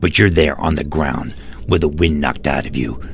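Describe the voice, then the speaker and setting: A man's put-on character voice, very deep and low, with a menacing tone over clear background noise. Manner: formal, deferential; menacing toward the intruder.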